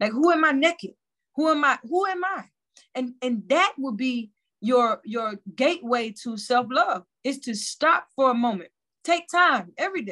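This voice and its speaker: A woman's raised, projected voice rings high, bright and sharp, with very wide pitch swings. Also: moderate pace. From US South, Mobile, Alabama. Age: 30s. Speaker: filmmaker and community organizer. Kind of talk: casual chat.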